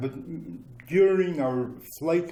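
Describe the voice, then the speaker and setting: In a room with audible echo, a man with a Ukrainian accent speaks very slowly in a dark, mellow tone with ordinary pitch variation. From Ukraine, childhood in Germany. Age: 70s. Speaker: former displaced person, interviewee. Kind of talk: interview, personal recollection. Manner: halting, many fillers.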